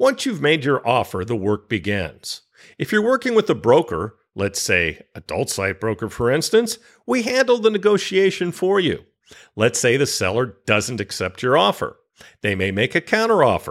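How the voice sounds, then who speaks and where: On a very clean recording with a silent background, a man with an American accent speaks at a moderate pace and medium pitch, with vocal fry and very wide pitch swings. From California. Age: 60s. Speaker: podcast host, website broker. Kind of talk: interview; scripted tips segment.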